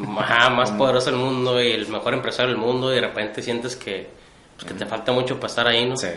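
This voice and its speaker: In a room with audible echo and noticeable background noise, a man with a northern Mexican accent talks at a very fast pace in a medium pitch with monotone, flat intonation. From Tijuana, Mexico. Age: 30s. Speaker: entrepreneur, hot sauce maker. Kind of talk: interview.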